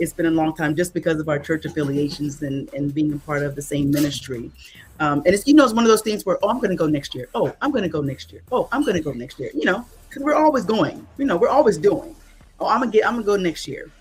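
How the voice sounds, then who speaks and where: A woman talks at a very fast pace in a fairly low pitch. Her pitch swings very widely. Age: 60s. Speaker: event planner, church member. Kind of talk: interview.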